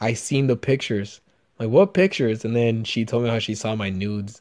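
Over a quiet background, a man with a non-native accent talks in an animated tone. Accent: foreign-accented English. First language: not English. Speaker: podcast host. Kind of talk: casual chat.

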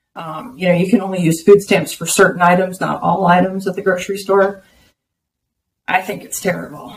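A woman with an American accent, somewhat breathy, at a fairly quick pace, with fairly even intonation and big swings in loudness. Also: medium pitch for a woman. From Texas. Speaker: bitcoin business development executive. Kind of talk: interview.

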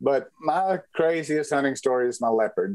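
A man with a Texan accent at a moderate pace. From West Texas. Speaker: rancher and safari hunter. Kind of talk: interview storytelling.

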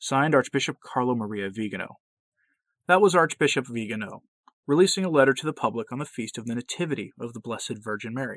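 Speaking very fast yet with long, frequent pauses, a man at a medium pitch uses lively intonation and big swings in loudness, in a dry, close sound with no echo and a quiet background. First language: not English. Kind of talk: solo commentary.

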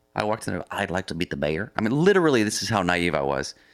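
In a very clean recording with a silent background, a man with an American accent speaks at a very fast pace in a very deep, low pitch with very wide pitch swings. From US Pacific Northwest, near Seattle. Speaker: coffee company founder and explorer. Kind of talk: interview, telling life story.

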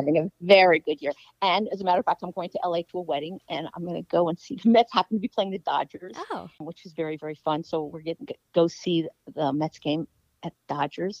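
A woman with an ordinary speaking voice talks at a fairly quick pace, her pitch fairly low with ordinary variation and her loudness swinging widely. The sound is dry and close, with no echo. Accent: American. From Washington, D.C. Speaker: sports TV producer. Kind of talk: interview.

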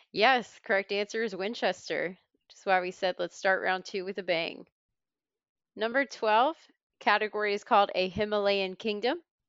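With big swings in loudness, a woman speaks at a moderate pace in a medium pitch, her pitch varying in an ordinary way. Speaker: middle school teacher and trivia quizmaster. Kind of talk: casual chat and trivia game. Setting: video call.

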